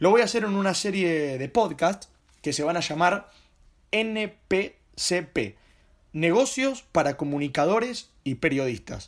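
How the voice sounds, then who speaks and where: A man with a high pitch and lively intonation in a Rioplatense accent, at a very slow pace, on a very clean recording with a silent background. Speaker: journalist and podcaster. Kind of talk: solo podcast monologue.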